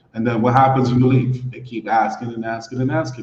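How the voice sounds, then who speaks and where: This man's voice is medium in pitch and somewhat breathy. He speaks at a fairly quick pace. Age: 40s. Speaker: guest on dating and expat podcast. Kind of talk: casual chat. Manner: repetitive, stammering restarts.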